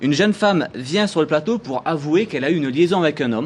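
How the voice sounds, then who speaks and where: Speaking very fast in a Marseille accent, a man uses lively intonation and a fairly high pitch. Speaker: TV columnist. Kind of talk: TV studio chronicle presentation. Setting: TV studio with audience.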